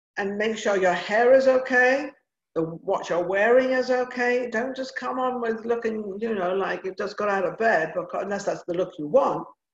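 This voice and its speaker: A woman speaks with an English accent. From England. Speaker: TV talk show host and former actress/model. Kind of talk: casual interview chat. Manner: animated.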